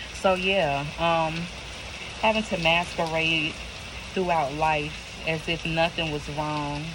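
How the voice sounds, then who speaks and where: The speech moves very slowly, with long, frequent pauses. Noticeable background noise sits behind it. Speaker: tarot reader. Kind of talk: tarot reading.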